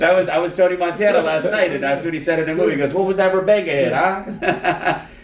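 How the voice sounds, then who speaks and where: Speaking at a very fast pace with hardly any pauses, a man with an American accent uses a high pitch, with audible room echo and noticeable background noise. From Miami, Florida. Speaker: lawyer and podcast host. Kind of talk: casual chat. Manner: loud; animated.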